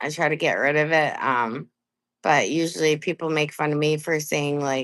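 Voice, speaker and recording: A woman with an American accent has a very deep, low pitch and fairly even intonation. She keeps a moderate pace in a very clean recording with a silent background. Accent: Maine accent, consciously reduced. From coastal Maine, US. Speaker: live streamer. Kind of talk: casual live stream chat. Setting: live stream. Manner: casual, chatty.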